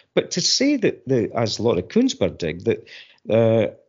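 Someone with a Fife accent talks at a moderate pace. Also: man. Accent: Scottish, Fife. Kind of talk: casual chat.

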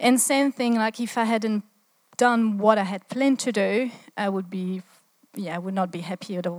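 With a French accent, a woman speaks at a fairly quick pace and ordinary pitch variation, in a very clean recording with a silent background and a dry, close sound with no echo. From France. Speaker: church speaker. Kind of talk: sermon. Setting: stage with audience.

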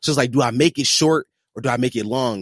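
Recorded dry and close with no echo, a man speaks at medium pitch with ordinary pitch variation. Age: 20s. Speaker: podcaster. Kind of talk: casual chat.

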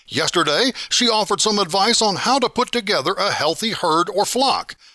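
Raised and projected, a man's high voice carries a bright, sharp tone at a moderate pace. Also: dry, close sound with no echo. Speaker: farm radio reporter. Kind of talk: radio interview.

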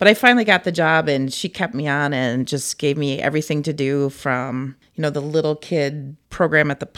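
Against a silent background in a very clean recording, a woman with a Minnesotan accent speaks at a very deep, low pitch, with ordinary pitch variation and a moderate pace. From Cannon Falls, Minnesota. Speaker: senior center recreation staff. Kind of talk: casual interview.

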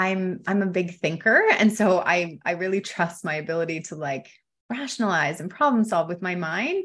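A woman with a Canadian accent at medium pitch, ordinary pitch variation and a moderate pace, against a quiet background. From Canada, Ontario. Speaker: wealth coach. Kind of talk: casual interview chat.

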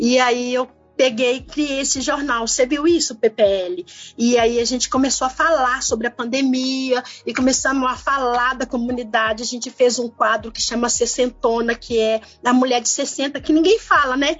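Amid noticeable background noise, a woman speaks in a high pitch with fairly even intonation. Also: moderate pace. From Belo Horizonte, Brazil. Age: 50s. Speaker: community activist and photographer. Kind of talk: interview.

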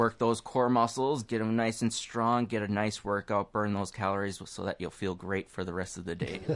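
Putting on a character voice, a man talks raspy and fairly low at a moderate pace with hardly any pauses. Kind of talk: fitness coordinator announcement. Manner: energetic, commanding, cheerful.

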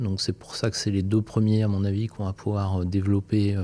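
A man is speaking. His tone is dark and mellow. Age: 40s. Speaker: engineer and company founder. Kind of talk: interview. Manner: hesitant, many fillers and repeated words.

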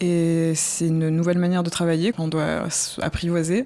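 Against noticeable background noise, a woman with a fairly low voice speaks at a moderate pace. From southern France. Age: young. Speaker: artist in residence. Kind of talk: documentary interview.

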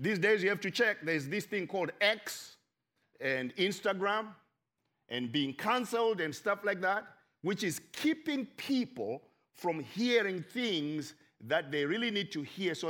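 A man talks at a fairly slow pace in a high pitch. His tone is bright and sharp, with very wide pitch swings. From Zimbabwe. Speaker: pastor. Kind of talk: sermon. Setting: church.

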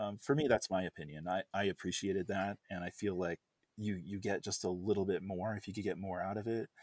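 Fairly low in pitch, a man with an American accent has an unremarkable speaking voice and fairly even intonation. He talks fairly quickly, in a dry, close sound with no echo. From United States. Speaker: software developer. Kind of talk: casual chat.

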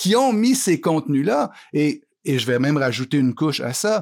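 The recording is very clean, with a silent background. A man speaks at a fairly slow pace with very wide pitch swings. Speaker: columnist and author. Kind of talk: interview. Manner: halting.

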